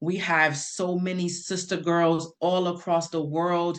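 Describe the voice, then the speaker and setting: A woman speaks with a fairly low pitch. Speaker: patient advocate. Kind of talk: testimony. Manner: loud.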